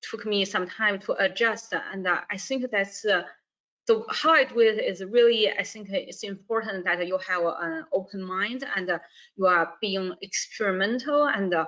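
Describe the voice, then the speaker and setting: A woman with a Chinese accent, at a moderate pace, with a medium pitch and ordinary pitch variation. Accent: non-native, Chinese. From northern China. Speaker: university staff, alumna. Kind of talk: webinar interview. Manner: halting, many fillers and repeats.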